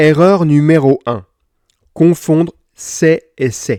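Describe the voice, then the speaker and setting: The man's voice has a dark, mellow tone, and the sound is dry and close with no echo. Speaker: French language teacher. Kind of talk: tutorial. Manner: slow; clear.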